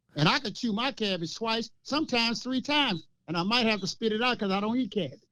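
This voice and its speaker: At a very fast pace, a man with a high pitch uses a raised, projected voice with a bright, sharp tone and ordinary pitch variation. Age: 60s. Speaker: local political commentator. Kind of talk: casual chat. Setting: podcast. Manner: animated.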